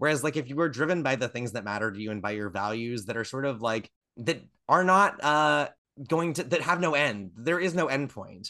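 A man's medium-pitched, bright, sharp voice with an American accent, lively intonation and a fairly quick pace. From northwestern Pennsylvania. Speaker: playwright. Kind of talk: casual interview conversation. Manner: hesitant, many fillers.

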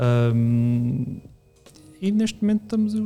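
The tone is dark and mellow. Pitch swings are very wide. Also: man. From Portugal, Alentejo (Reguengos de Monsaraz). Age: 30s. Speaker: photographer. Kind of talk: casual chat.

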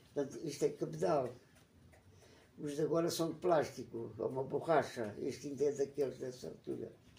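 A man speaks at a moderate pace, his pitch fairly high with ordinary variation. His tone is dark and mellow, and somewhat breathy. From Portugal, Alentejo (Évora). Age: 90s. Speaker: retired geology professor. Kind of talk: interview. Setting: at his home. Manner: halting, with repetitions.

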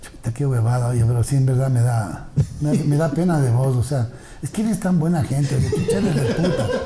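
A man at a fairly high pitch and moderate pace, with ordinary pitch variation and music in the background. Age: 50s. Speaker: radio presenter. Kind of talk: casual chat.

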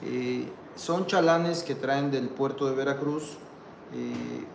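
A man speaking very slowly, with noticeable background noise and audible room echo. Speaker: port administrator. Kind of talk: interview. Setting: outdoors. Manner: halting.

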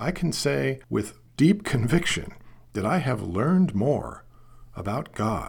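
A man with a medium-pitched voice speaks very slowly. His pitch swings very widely, and vocal fry is present. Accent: American. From US Pacific Northwest, Portland, Oregon. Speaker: film critic and novelist. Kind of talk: monologue podcast essay.

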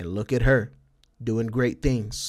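This is a man with an American accent. His pitch sits in the medium range. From El Paso, Texas. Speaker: Twitch streamer and podcast host. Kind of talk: casual solo monologue. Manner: casual, filler-heavy.

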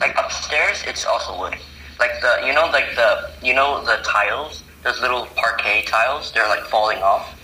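Heard through audible room echo and noticeable background noise, a man speaks at a moderate pace. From Hong Kong. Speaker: podcast guest. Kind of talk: casual chat.

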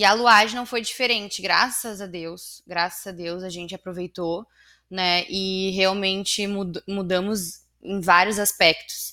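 On a very clean recording with a silent background, a woman with a plain, everyday voice speaks at a fairly slow pace and fairly even intonation. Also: medium pitch for a woman. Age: 20s. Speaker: business owner, real estate company director. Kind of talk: casual interview chat.

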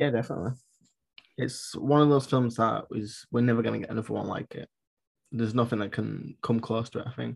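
Here a man at a medium pitch speaks at a very fast pace with fairly even intonation. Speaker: podcast host. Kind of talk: casual chat.

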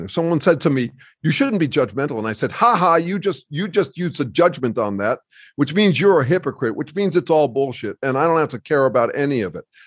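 A man speaks with an American accent at a fairly quick pace. His fairly high voice swings very widely in pitch over a quiet background. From US Midwest, Chicago. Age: 60s. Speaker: author and researcher. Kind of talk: casual interview conversation.

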